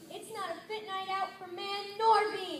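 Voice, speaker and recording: An extremely high-pitched, put-on character voice is heard. The pace is moderate. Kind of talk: comic church skit. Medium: stage play. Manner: repetitive, gloomy.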